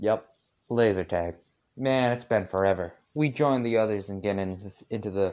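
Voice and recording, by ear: A natural voice reads aloud against a quiet background, its pitch moving in an ordinary way.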